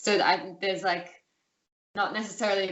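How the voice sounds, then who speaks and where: A woman with an Australian accent speaks in a monotone, flat way, with audible room echo around her. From Australia, city. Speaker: interview guest. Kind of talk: casual interview. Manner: hesitant, many fillers.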